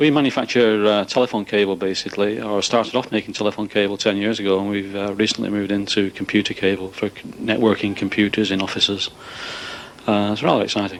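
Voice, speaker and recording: With a northern English accent, a man talks at a very fast pace in a fairly low voice with fairly even intonation over noticeable background noise. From northern England. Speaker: managing director of a cable manufacturer. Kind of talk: interview on a factory tour.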